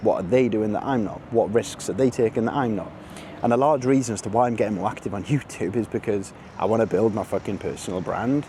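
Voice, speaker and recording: In a Welsh accent, a man with a medium pitch speaks very fast in an animated tone, with ordinary pitch variation and noticeable background noise. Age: 20s. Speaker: vlogger. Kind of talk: casual vlog monologue. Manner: casual, animated.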